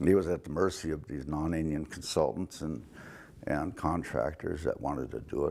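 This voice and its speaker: Vocal fry marks a man's very deep, low voice. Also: ordinary pitch variation, moderate pace. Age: 70s. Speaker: nonprofit director. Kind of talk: interview. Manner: halting.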